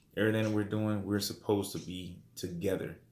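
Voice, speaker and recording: A man with a fairly low pitch at a fairly quick pace, with audible room echo. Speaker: religious teacher. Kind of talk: bible study lesson. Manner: fast.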